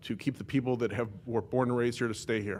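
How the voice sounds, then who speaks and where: Very fast and at a medium pitch, a man with an American accent speaks with fairly even intonation on a very clean recording with a silent background. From California. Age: 40s. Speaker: member of the public at a council meeting. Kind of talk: public comment. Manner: halting, many fillers.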